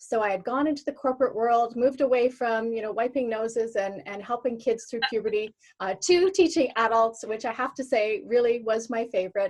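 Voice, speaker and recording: In a Canadian accent, a woman with a fairly high pitch speaks at a fairly quick pace. It is an ordinary speaking voice with ordinary pitch variation, set against a quiet background. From Canada, Alberta. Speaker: former teacher, online business owner. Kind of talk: interview.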